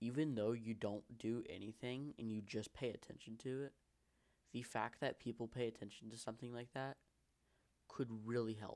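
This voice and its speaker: Monotone, flat intonation marks this man's speech at a medium pitch. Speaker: vlogger. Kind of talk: personal monologue vlog. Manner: fast; halting, tripping over words.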